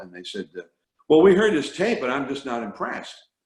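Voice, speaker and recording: A man speaks here. His pitch swings very widely. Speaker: veteran baseball broadcaster, play-by-play announcer. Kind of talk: interview answer, storytelling.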